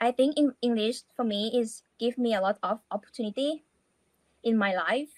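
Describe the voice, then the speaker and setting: A woman speaks in a Thai accent at a fairly high pitch, her intonation fairly even. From Thailand. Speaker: language student. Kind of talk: interview. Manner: halting.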